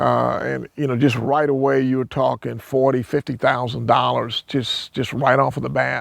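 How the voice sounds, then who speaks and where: A man speaks with a South Carolina accent, his voice sounding dry and close with no echo. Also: moderate pace. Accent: US Southern (South Carolina). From South Carolina, Hopkins. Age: 60s. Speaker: landowner and builder. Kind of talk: interview. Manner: halting, many repetitions and fillers.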